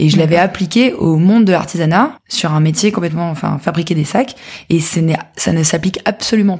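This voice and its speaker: Speaking at a fairly quick pace, a woman with a fairly low pitch sounds somewhat breathy and uses ordinary pitch variation. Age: 20s. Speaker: entrepreneur, handbag brand founder. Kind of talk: interview conversation. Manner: hesitant, repeats words.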